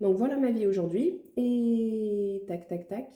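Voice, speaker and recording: Soft-spoken and somewhat breathy, a woman talks in a dark, mellow tone with lively intonation. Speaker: budgeting vlogger. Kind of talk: casual vlog talk. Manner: quiet, soft-spoken.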